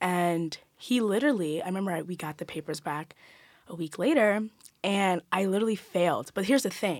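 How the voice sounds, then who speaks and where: Lively in intonation and fairly quick, a woman at medium pitch speaks in an unremarkable speaking voice on a very clean recording with a silent background. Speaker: college student, poet. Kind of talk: casual chat. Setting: studio.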